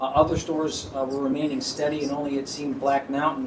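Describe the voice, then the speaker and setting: This man's voice sits fairly high, with ordinary variation in pitch. Noticeable background noise and audible room echo surround him. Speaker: lawyer for an applicant. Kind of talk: formal hearing argument. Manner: repetitive.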